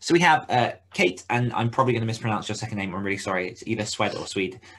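The man's voice sits at a medium pitch. It rises and falls in an ordinary way. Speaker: podcast co-host for authors. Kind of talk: casual chat. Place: home room.

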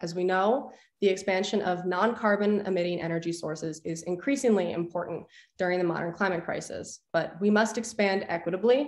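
An American-accented woman talks at a fairly quick pace and a medium pitch. Her pitch varies in an ordinary way, with audible room echo around her. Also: quiet background. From northern Illinois, Lake County; Illinois. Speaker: nuclear engineering PhD student; witness. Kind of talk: prepared public testimony. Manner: formal. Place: home room. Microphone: video call.

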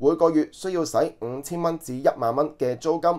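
A man speaks in a normal speaking voice at a fairly high pitch, with ordinary pitch variation. The recording is very clean, with a silent background. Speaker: online news commentator. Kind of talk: news commentary monologue. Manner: filler-heavy, conversational.

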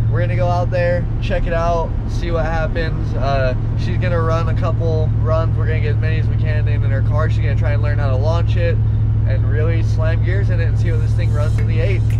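Fairly quick speech from a man over loud background noise. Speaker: car vlogger. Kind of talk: casual vlog chat. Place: car. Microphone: phone near.

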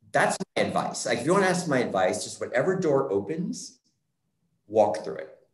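The speaker has an American accent and keeps a moderate pace. The background is quiet, though there is audible room echo. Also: man. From Scranton, Pennsylvania; Pennsylvania. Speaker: theatre artist and choreographer; panelist. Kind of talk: interview conversation. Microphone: video call.

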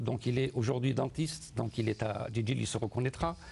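A man talks at a fairly slow pace. Vocal fry runs through his voice. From Algeria, Sétif; Algeria. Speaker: first-time memoir author; guest. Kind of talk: studio interview. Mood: warm, nostalgic. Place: studio. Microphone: lapel.

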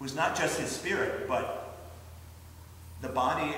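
Light background noise and audible room echo accompany a man speaking at a moderate pace. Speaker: pastor. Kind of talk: children's sermon. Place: church. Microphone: camera far.

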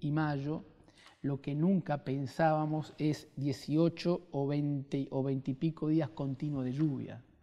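A man's voice sits fairly high for his sex, and his intonation stays fairly even. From Santa Fe province, Argentina (small town). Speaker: provincial government minister. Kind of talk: interview. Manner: hesitant, many fillers. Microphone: lapel.

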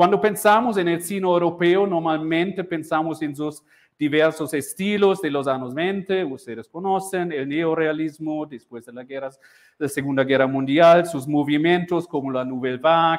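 A man talks at a moderate pace with ordinary pitch variation and big swings in loudness. The background is quiet. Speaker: university lecturer. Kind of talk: lecture. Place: classroom. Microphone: lapel.

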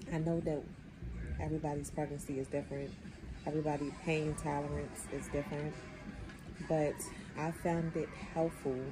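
With clear music in the background, a woman talks at a moderate pace, leaving long, frequent pauses. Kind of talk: casual vlog chat. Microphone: phone near.

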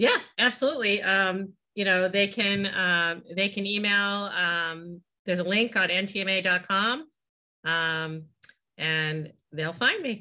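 A woman's bright, sharp tone at medium pitch, ordinary pitch variation, a very slow pace, and a quiet background. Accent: slight Boston. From Massachusetts, US. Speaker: flooring company president; guest. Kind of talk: interview. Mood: relaxed, conversational. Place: home room. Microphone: video call.

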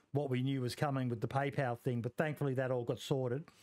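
A man talks in an Australian accent with monotone, flat intonation. The background is quiet. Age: 40s. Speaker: podcast host. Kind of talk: casual interview. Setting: live stream. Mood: friendly, grateful. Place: home room. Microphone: headset.

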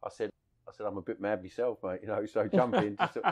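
A man speaks with a South London accent at a fairly low pitch. The background is quiet. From Bermondsey, South London. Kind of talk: interview answer, anecdote. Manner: plain-speaking, casual.

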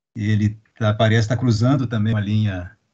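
Somewhat breathy speech over a quiet background. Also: man. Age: middle-aged. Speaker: interviewer. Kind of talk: interview. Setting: video call. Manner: halting. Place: home room. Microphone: video call.

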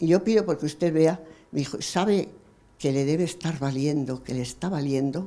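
A woman speaks with a very deep, low pitch and ordinary pitch variation. Her tone is dark and mellow, and her pace is moderate. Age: old. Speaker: audience member. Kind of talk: audience comment. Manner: animated. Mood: moved, emotional. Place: hall. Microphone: handheld.

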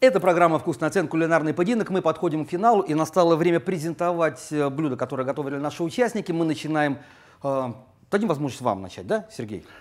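Against a quiet background, a man with a fairly high pitch talks at a very fast pace using lively intonation. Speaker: cooking show host. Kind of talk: TV cooking show hosting. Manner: animated. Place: home room. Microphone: lapel.

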